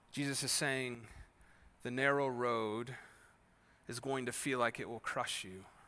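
In an American accent, a voice with a bright, sharp tone speaks at a fairly slow pace in a monotone, flat intonation, with long, frequent pauses, big swings in loudness and audible room echo. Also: man, medium pitch for a man. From Wisconsin, US Midwest (Kenosha). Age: 30s. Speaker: pastor. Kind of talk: sermon. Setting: church. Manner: casual conversational.

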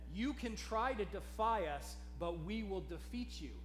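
A man performs in a put-on character voice. Clear background noise sits behind him. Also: moderate pace. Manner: menacing, threatening.

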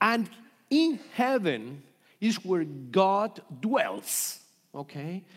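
Very slowly and with long, frequent pauses, a man speaks in a high voice whose pitch swings very widely. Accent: Colombian. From Colombia. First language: Spanish. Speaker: pastor. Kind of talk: sermon. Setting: church. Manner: halting.

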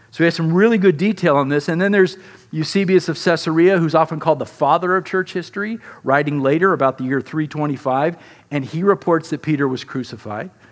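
Against a quiet background, a man with a plain, everyday voice talks at a fairly quick pace and fairly high pitch, with ordinary pitch variation. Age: 50s. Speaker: pastor. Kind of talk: sermon.

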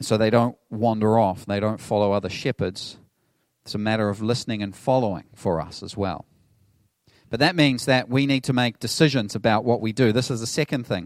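A man with a New Zealand accent talks at a fairly quick pace with ordinary pitch variation. The recording is very clean, with a silent background. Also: medium pitch for a man. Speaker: pastor. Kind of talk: sermon. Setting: church.

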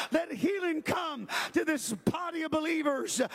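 Shouting in an intense, animated tone, a man speaks at a fairly slow pace with an extremely high pitch and ordinary pitch variation. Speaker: preacher. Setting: church; livestreamed to online viewers as well as a live congregation.

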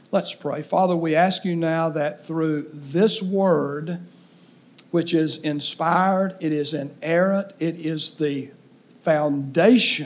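In an Alabama accent, a man speaks at a very slow pace. His voice is fairly high, with fairly even intonation. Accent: Southern US (Alabama). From Alabama, US South. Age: 60s. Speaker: pastor. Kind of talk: sermon. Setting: church.

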